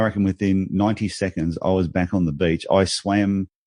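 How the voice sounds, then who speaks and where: Heard dry and close with no echo over a quiet background, a man with an Australian accent speaks at a fairly low pitch in a dark, mellow tone. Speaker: business speaker and author. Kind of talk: podcast interview. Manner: animated.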